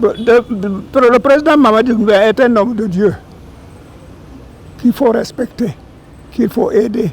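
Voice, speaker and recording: Amid noticeable background noise, the speech moves at a fairly slow pace with long, frequent pauses and ordinary pitch variation. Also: man, extremely high pitch for a man. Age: 80s+. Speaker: war veteran. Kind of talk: ceremonial speech.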